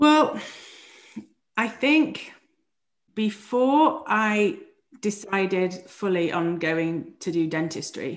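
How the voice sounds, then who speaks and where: In a British accent, a woman talks at a medium pitch with very wide pitch swings. She goes at a very slow pace with long, frequent pauses. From England. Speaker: dentist turned physician coach. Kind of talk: interview.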